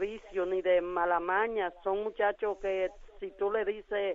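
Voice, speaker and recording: Her pitch lands in the middle of a woman's range. She speaks fairly slowly. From Latin America. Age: 60s. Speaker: caller, mother. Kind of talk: phone-in testimony. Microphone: echo from radio playing.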